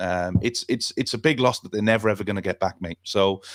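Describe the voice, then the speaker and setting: On a very clean recording with a silent background, a man speaks with a Welsh accent at a fairly low pitch. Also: dry, close sound with no echo. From Wales. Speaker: football talk show host and youth coach. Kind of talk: talkback radio discussion. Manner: halting, many fillers and repetitions.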